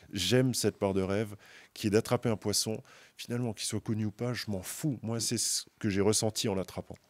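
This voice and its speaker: A man speaks at a fairly quick pace with a fairly low pitch. His intonation stays fairly even. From Moselle, eastern France. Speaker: carp angler, brand team member. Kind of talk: casual chat. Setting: outdoors at a fishing event. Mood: reflective, passionate. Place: studio. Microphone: studio mic.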